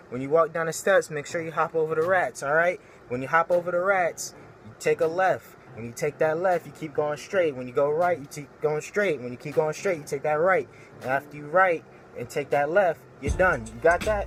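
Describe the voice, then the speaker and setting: A man talks with a New York accent in a fairly high pitch. His pace is fairly quick, with ordinary pitch variation and big swings in loudness. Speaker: vlogger. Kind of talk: comedic rant to camera. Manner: animated.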